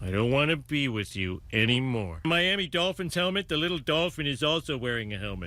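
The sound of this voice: Using a cartoonish character voice at a fairly high pitch, a man talks at a fairly quick pace with hardly any pauses.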